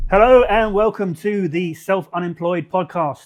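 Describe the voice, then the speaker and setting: At a moderate pace, a man speaks in a high pitch. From UK and Paraguay. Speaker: podcast host. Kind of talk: podcast interview.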